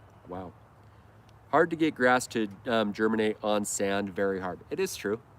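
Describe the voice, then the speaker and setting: A man with an American accent and a normal speaking voice talks at a moderate pace with a fairly low pitch and ordinary pitch variation. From Idaho, US. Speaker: lawn care YouTuber. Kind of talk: casual live stream chat. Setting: live stream.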